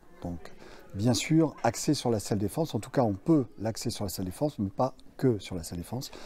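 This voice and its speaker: A man's somewhat breathy voice, dark and mellow in tone, medium in pitch, with lively intonation at a moderate pace. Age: 60s. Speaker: martial arts instructor. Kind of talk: interview. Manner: hesitant, many fillers.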